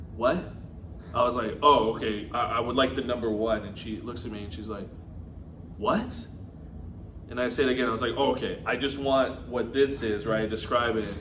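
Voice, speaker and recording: A man talks in a Californian accent, leaving long, frequent pauses. Audible room echo and noticeable background noise fill the recording. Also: medium pitch for a man, ordinary pitch variation, moderate pace. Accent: California. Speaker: podcast co-host. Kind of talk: casual chat.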